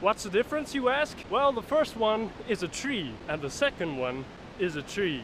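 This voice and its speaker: Against noticeable background noise, a man with a high pitch makes very wide pitch swings, the sound dry with no echo. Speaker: bikepacking vlogger. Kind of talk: casual vlog chat. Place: forest. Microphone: phone near.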